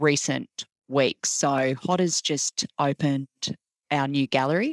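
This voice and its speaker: A fairly slow voice with an Australian accent and fairly even intonation, dry and close with no echo. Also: woman. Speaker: podcast host, arts centre CEO. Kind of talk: interview conversation.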